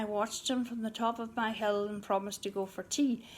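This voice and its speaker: A woman speaks with a Northern Irish accent. Her pace is moderate. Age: 60s. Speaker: amateur poet. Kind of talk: poetry reading.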